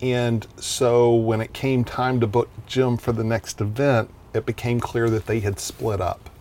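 The speaker talks in a Texan accent at a fairly slow pace. The intonation is monotone and flat, with hardly any pauses. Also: man, medium pitch for a man. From Texas, small town (Vernon). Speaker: marketing entrepreneur and event promoter. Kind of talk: casual interview chat.

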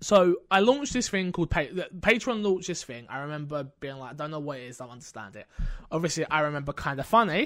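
A man speaks very fast in a fairly high pitch, with lively intonation and big swings in loudness. The recording is very clean, the background silent. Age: 20s. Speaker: streamer and podcast host. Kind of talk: casual chat. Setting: home streaming setup.

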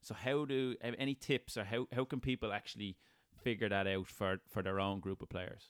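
A man with a fairly low voice and ordinary pitch variation keeps a moderate tempo. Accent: Irish. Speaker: podcast host. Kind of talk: interview.

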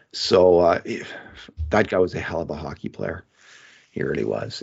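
A man speaks at a moderate pace. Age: 60s. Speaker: sports journalist and podcast host. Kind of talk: casual hockey analysis chat.

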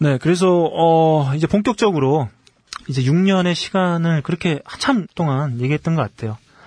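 This is a normal speaking voice at a moderate pace with ordinary pitch variation, recorded with a dry, close sound with no echo. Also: man, fairly high pitch for a man. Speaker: magazine interviewer. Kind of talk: casual chat.

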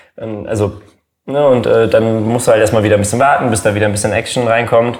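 Audible room echo surrounds a voice that goes at a fairly quick pace with fairly even intonation. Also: man. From Germany. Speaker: YouTuber. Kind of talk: casual chat.

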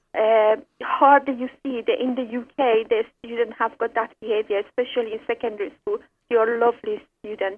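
In an Iranian accent, a woman speaks at a fairly high pitch with little pitch movement. Her pace is fairly quick.

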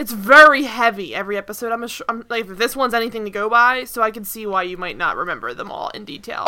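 A woman's fairly high voice at a very fast pace with hardly any pauses, ordinary pitch variation, big swings in loudness, and noticeable background noise. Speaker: podcast host. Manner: casual, chatty.

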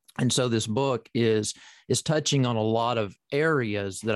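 With a Southern US accent, a man speaks at a fairly slow pace in a dry, close sound with no echo. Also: quiet background. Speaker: professor and author. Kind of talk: interview about his book. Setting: video call.

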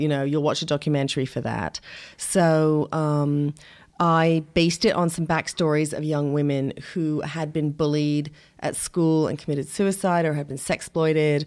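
A woman speaks at a very deep, low pitch on a very clean recording with a silent background. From England. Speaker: independent filmmaker. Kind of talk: interview conversation.

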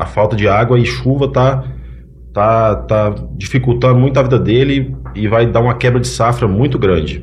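Medium-pitched man at a moderate pace, ordinary pitch variation and very even loudness, with audible room echo and noticeable background noise. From Paracatu, Minas Gerais, Brazil; childhood in São Paulo. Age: 20s. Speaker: farmer, farmers' union candidate. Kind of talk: podcast interview.

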